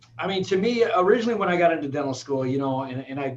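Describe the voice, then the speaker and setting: A man with an American accent talks at a very fast pace in a fairly high pitch with ordinary pitch variation. Noticeable background noise runs under his voice. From Michigan, Flint. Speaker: dentist and business owner. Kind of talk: casual interview. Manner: energetic.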